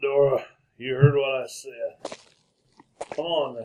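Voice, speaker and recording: In a put-on character voice with a Western US accent, a man speaks at a fairly slow pace and a fairly high pitch. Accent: Western frontier drawl. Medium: old radio play. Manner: terse, gruff.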